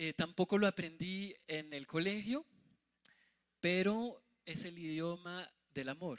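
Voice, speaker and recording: In a dry, close recording with no echo, a man with a high pitch and ordinary pitch variation speaks at a very slow pace, leaving long, frequent pauses. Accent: French. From France. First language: French (speaking Spanish). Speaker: missionary preacher. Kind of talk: sermon.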